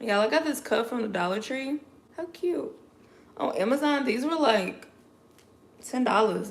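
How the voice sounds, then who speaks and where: A woman with an American accent talks at a moderate pace in a high voice with lively intonation. She takes long, frequent pauses, and noticeable background noise runs underneath. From Chicago. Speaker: lifestyle vlogger. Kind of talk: casual livestream chat. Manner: animated.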